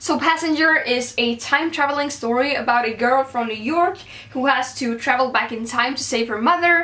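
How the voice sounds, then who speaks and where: Through noticeable background noise, a raised, projected voice with a Swedish accent moves at a moderate pace with ordinary pitch variation. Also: woman. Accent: Swedish-accented English today. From Sweden. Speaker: book vlogger. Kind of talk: casual vlog, book haul.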